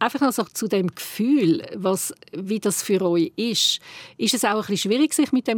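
A woman speaks at a moderate pace with a Swiss accent and lively intonation. The sound is dry and close, with no echo. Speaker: podcast host. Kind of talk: casual chat.

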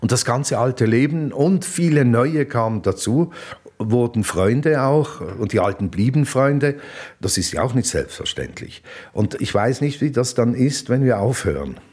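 At a fairly slow pace, a man talks at a medium pitch with ordinary pitch variation and very even loudness. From Basel, Switzerland. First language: Swiss German (Basel dialect) (speaking German). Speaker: hotelier and former radio presenter. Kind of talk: interview. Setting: on location at his hotel.

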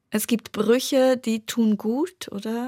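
A woman speaks with a Turkish accent. The recording is very clean and silent in the background, with a dry, close sound and no echo. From Prizren, Kosovo; raised in Bern, Switzerland from age ten. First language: Turkish (speaking German). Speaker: novelist. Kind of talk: radio interview.

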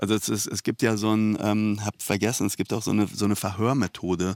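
Over a silent background in a very clean recording, a man speaks at a fairly quick pace. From Iran, raised in Germany from age 9-10. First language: Persian (speaking German). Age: 40s. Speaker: author. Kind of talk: interview. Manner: halting, many fillers.

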